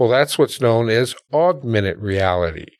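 A man with an American accent, a normal speaking voice and fairly low pitch, at a moderate pace. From US Midwest, Milwaukee. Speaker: educational technology founder. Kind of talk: interview conversation. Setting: podcast studio.

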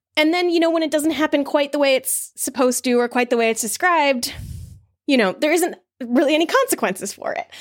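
Over music in the background, a woman with an American accent talks at a very fast pace in a high pitch with lively intonation. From New Jersey, US. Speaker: podcast creator and author. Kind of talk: casual interview conversation.

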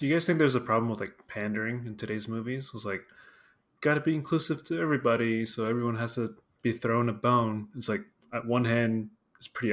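With an unremarkable speaking voice, a man speaks at a fairly quick pace with ordinary pitch variation. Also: very clean recording, silent background. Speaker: guest. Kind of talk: casual chat.

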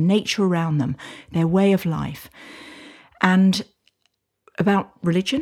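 A woman's somewhat breathy, medium-pitched voice with a British accent, dark and mellow in tone, at a moderate pace with ordinary pitch variation. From UK. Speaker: social enterprise founder, author. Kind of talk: casual interview conversation. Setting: in a hut in person.

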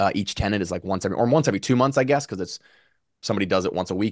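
Very fast and with an American accent, a man speaks at a fairly low pitch with ordinary pitch variation, the sound dry and close with no echo against a quiet background. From Virginia, Lynchburg. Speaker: real estate investor. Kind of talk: interview.

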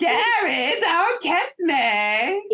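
In a put-on character voice, a female-sounding speaker hits an extremely high pitch and swings her pitch very widely. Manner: obnoxious.

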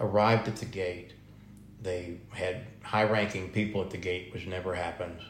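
In a room with audible echo, a man speaks at a moderate pace in a very deep, low, somewhat breathy voice with monotone, flat intonation. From Texas. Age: 60s. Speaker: food truck owner, military veteran. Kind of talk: interview.

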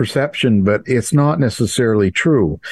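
Against a quiet background, a man with a plain, everyday voice and medium pitch speaks at a fairly slow pace with lively intonation, the sound dry and close with no echo. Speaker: true crime author and radio host. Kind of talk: interview conversation.

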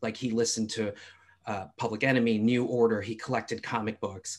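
A man with an American accent and a normal speaking voice, medium in pitch, at a fairly quick pace, in a very clean recording with a silent background. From US East Coast. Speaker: film expert. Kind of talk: casual chat.

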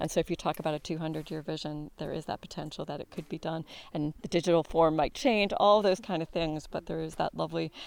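A woman talks at a fairly quick pace with a fairly low pitch and ordinary pitch variation. Vocal fry is in her voice. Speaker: artist in residence.

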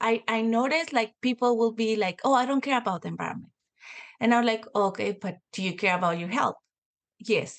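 A woman speaks in a Spanish accent at a fairly quick pace, her pitch fairly high. Her pitch varies in an ordinary way over a quiet background. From Mexico, Mexico City. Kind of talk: casual interview chat.

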